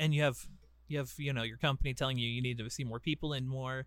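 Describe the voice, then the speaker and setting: A man talks at a very fast pace and a medium pitch. His intonation stays monotone and flat. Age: 20s. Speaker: podcast co-host. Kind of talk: casual chat.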